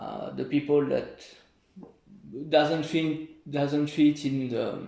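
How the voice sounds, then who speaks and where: A man with a French accent, fairly high in pitch, at a very slow pace with long, frequent pauses, monotone, flat intonation and big swings in loudness. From France, near Paris. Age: 20s. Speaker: volunteer. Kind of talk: interview. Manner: halting.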